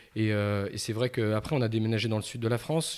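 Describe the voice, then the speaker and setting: Over a quiet background, a man talks in a medium pitch. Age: 40s. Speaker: carp angler; podcast guest. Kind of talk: casual interview. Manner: halting, many fillers. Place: studio. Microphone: studio mic.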